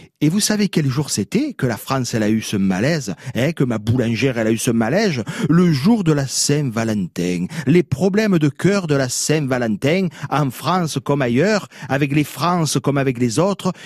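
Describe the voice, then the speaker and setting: In a dry, close recording with no echo, a man speaks at a fairly high pitch with very wide swings and very even loudness. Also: moderate pace. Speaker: radio chronicler of local words. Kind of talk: radio chronicle. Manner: animated.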